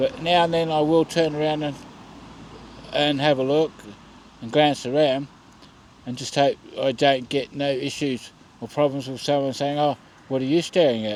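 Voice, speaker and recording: With an Australian accent, a man at a fairly high pitch talks at a moderate pace, using fairly even intonation and long, frequent pauses. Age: 50s. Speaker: vlogger. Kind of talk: casual vlog monologue. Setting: outdoors at a bus stop at night.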